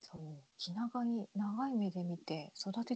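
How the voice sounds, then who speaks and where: A woman's dark, mellow, somewhat breathy voice in a dry, close sound with no echo. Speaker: podcast host. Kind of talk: casual chat.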